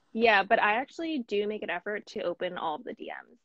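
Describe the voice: A woman talks at a fast pace with lively intonation, in a dry, close sound with no echo. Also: medium pitch for a woman, fairly bright tone.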